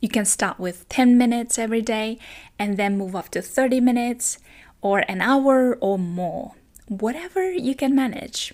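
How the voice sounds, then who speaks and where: At a moderate pace, a woman with a non-native accent speaks with lively intonation and a fairly high pitch, on a very clean recording with a silent background. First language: not English. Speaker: language teacher. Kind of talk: tutorial.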